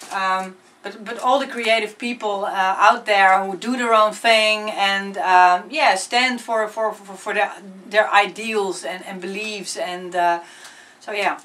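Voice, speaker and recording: Against noticeable background noise, someone with a Dutch accent talks at a fairly slow pace with fairly even intonation and big swings in loudness. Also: woman, medium pitch for a woman. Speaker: singer-songwriter. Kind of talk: interview. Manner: halting, many fillers and repetitions.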